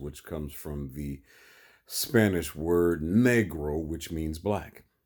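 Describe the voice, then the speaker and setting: Dark and mellow in tone, a voice with an American accent speaks at a very slow pace on a very clean recording with a silent background. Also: man. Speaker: vlogger. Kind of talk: monologue. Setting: in bed.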